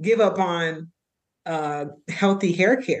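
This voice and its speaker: This is an ordinary speaking voice with an American accent and ordinary pitch variation. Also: woman. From Florida, US. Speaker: marriage and family therapist. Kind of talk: casual interview.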